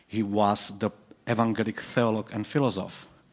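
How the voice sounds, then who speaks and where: With a Czech accent, a man talks fairly quickly in a fairly low, flat monotone. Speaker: professor. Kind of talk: conference talk. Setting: stage with audience. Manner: halting.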